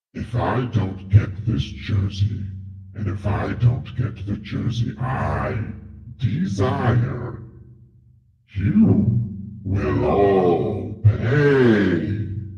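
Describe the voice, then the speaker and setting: In a put-on character voice, a man talks at a very slow pace with a fairly low pitch, a clear echo, and faint music in the background. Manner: menacing.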